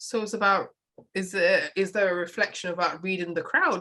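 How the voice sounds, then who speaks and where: With a British accent, a woman speaks fairly quickly in a bright, sharp tone with ordinary pitch variation. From United Kingdom. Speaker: podcast host. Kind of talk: podcast interview. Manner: casual, halting.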